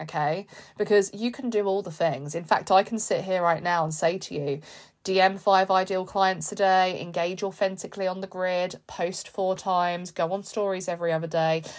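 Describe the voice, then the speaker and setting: With a British accent, a woman talks at a moderate pace and medium pitch in a very clean recording with a silent background. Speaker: business coach and podcast host. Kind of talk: motivational pep talk. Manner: animated, fired-up, emphatic; repetitive, rhythmic, encouraging.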